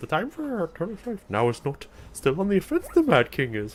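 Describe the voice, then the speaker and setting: With a high pitch and a put-on character voice, a man talks at a fairly quick pace. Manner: croaky, wise.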